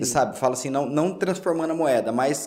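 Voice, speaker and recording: The speaker has vocal fry and ordinary pitch variation, with audible room echo in the recording. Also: man. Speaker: podcast host. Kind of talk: casual interview.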